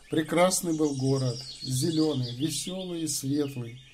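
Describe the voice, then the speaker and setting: The room echo is audible as a man speaks at a fairly high pitch. His pace is fairly slow and his intonation fairly even. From Kazakhstan, Karazhal. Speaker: YouTube channel host. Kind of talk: casual address to viewers; reading poetry aloud.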